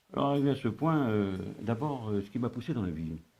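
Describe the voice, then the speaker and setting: Dark, mellow tone from a man, with ordinary pitch variation. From North Africa. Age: 70s. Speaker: retired civil servant and consultant. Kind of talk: interview. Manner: halting, many hesitations.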